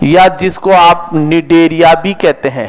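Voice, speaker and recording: A man's voice over noticeable background noise. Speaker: zoology teacher. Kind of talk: lecture. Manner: slow.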